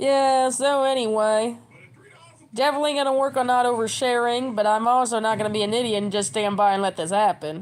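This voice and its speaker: A woman's fairly high voice, fairly quick, with ordinary pitch variation. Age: 30s. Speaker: livestreamer. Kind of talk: casual livestream chat. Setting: at home. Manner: fast; animated.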